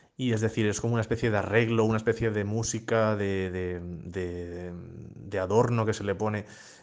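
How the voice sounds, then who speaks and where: In a quiet background, a man's fairly even intonation carries at a moderate pace. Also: fairly low pitch for a man. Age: 20s. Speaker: illustrator. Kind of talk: casual discussion. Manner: halting.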